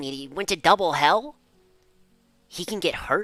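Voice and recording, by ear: A man puts on a character voice at a high pitch, keeping a moderate pace over background music.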